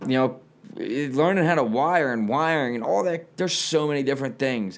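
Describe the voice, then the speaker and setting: A man talks very fast with lively intonation. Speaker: podcast host. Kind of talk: casual chat. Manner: rambling, casual.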